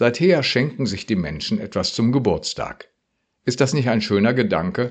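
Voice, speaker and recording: Vocal fry colors this man's medium-pitched voice. He moves at a moderate pace with very wide pitch swings. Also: quiet background. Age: 60s. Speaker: retired pastor. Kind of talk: radio devotional.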